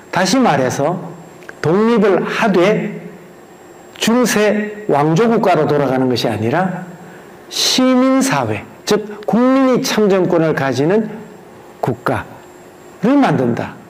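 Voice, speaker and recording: A man speaks very slowly with a high pitch and very wide pitch swings, leaving long, frequent pauses. His loudness stays very even, with audible room echo and noticeable background noise. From Gyeongsang region, South Korea. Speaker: museum director giving a history lecture. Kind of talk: lecture.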